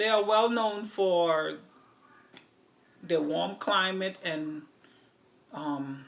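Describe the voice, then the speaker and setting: A woman's medium-pitched voice with an American accent, at a very slow pace with long, frequent pauses, ordinary pitch variation and audible room echo. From Antigua, then New York. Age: 40s. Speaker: vlogger. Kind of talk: casual Q&A vlog. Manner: hesitant, many fillers.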